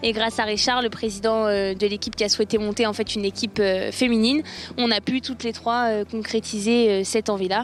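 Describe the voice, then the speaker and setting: A woman speaks at a fairly quick pace in a fairly high voice, with flat, monotone intonation. Noticeable background noise can be heard. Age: 20s. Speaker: amateur powerboat racer, law graduate. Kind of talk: interview.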